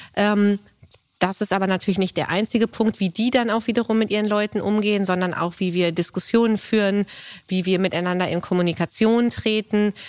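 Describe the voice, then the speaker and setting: A woman's ordinary speaking voice at medium pitch, fairly quick in pace with fairly even intonation. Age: 30s. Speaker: managing director of family business. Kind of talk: interview conversation. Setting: on location at company.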